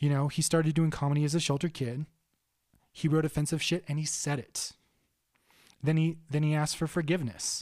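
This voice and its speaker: Delivered at a fairly quick pace in a monotone, flat intonation, the speech is broken by long, frequent pauses, and the recording is very clean with a silent background. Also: man, fairly high pitch for a man. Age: 30s. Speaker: podcast host and rock musician. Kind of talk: casual chat.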